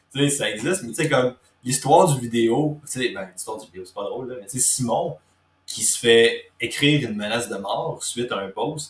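A man with a Quebec accent at medium pitch, moderate pace, ordinary pitch variation and big swings in loudness. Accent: Québécois French. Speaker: podcast host, fitness coach. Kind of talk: casual interview.

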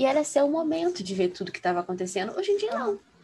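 A woman's voice amid noticeable background noise. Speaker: law student. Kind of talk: casual chat.

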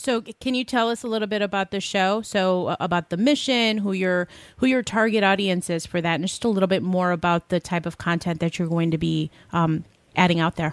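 A woman's plain, everyday voice at medium pitch, fairly quick, with ordinary pitch variation, in a very clean recording with a silent background and a dry, close sound free of echo. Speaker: podcast co-host. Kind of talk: interview. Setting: studio.

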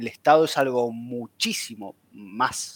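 The speaker has an Argentine accent, heard in a dry, close sound with no echo. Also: man. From Argentina, Buenos Aires. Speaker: researcher on cryptocurrencies, audiovisual animator. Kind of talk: casual chat.

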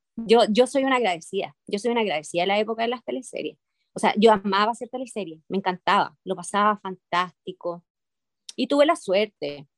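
A woman with a medium pitch talks at a fairly quick pace, her sound dry and close with no echo. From Chile. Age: 50s. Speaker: actress. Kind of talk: interview. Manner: hesitant with many fillers.

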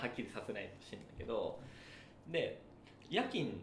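Room echo is audible and background noise is noticeable. Over it, a man talks fairly quickly. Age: 30s. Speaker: podcast co-host. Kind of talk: casual chat.

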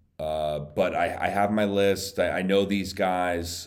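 This man has a very deep, low voice and speaks at a very slow pace. Audible room echo surrounds his words. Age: 30s. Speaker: golf gambling podcast host. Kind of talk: solo casual monologue. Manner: halting, many repetitions.

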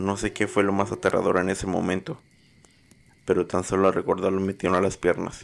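A man's very deep, low pitch in a monotone, flat intonation. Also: moderate pace, very clean recording, silent background. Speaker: horror story narrator. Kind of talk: dramatic horror narration, scripted storytelling.

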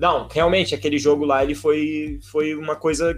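A man talks over noticeable background noise. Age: 20s. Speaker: physical education student, podcast panelist. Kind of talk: casual chat.

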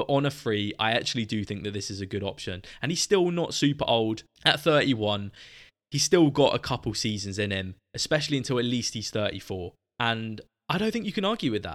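Speaking at a fairly quick pace with lively intonation, a man with a southern English accent has a medium pitch, on a very clean recording with a silent background. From southern England, Southampton. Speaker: football podcast host. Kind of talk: solo podcast monologue. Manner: casual, chatty.

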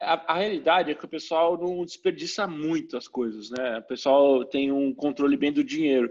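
A man speaks in a plain, everyday voice at a moderate pace, his fairly high pitch showing ordinary pitch variation, with hardly any pauses. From Brazil. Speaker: engineer and educator. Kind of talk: casual interview chat.

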